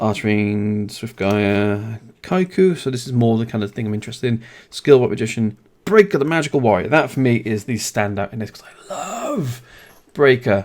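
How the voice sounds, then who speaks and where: Speaking with a British accent, a man keeps to a medium pitch and ordinary pitch variation. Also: big swings in loudness. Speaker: card game YouTuber. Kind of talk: product review. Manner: fast; casual.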